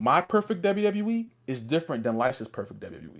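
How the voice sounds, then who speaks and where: In a very clean recording with a silent background, a man sounds animated as his pitch swings very widely. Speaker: wrestling podcast co-host. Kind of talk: heated rant on podcast. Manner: fast; animated, stammering repeats.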